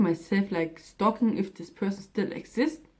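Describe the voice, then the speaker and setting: With ordinary pitch variation, a woman talks in a fairly high register. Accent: German. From Germany. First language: German. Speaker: vlogger. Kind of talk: casual vlog talk.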